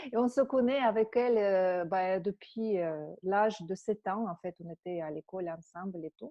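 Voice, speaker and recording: A woman of medium pitch speaks at a fairly slow pace with ordinary pitch variation. Her loudness swings widely. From Russia. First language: Russian (speaking French). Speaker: energy healing teacher. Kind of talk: webinar talk. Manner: halting, many fillers.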